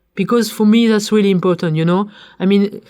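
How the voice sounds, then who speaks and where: A woman's dark, mellow voice at a medium pitch, in a French accent, with ordinary pitch variation. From France. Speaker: corporate sustainability leader. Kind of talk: interview conversation. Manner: hesitant, repeats words.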